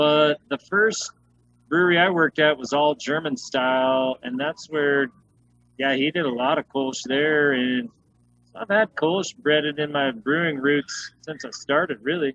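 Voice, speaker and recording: A man with an American accent speaks in a fairly high pitch with ordinary pitch variation. The sound is dry and close, with no echo. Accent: noticeable regional US. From Utah, US. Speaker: head brewer. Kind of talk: casual interview chat. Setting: video call.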